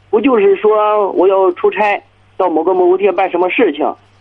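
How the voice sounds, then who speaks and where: Moderate pace and ordinary pitch variation from a man with a high pitch. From Chinese county town. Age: 30s. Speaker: small business owner. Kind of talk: phone-in call. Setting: phone call. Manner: hesitant, many fillers.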